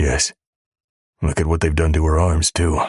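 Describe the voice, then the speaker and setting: A put-on character voice from a man, very deep and raspy, quiet and monotone, at a moderate pace. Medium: read story. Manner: hushed and urgent.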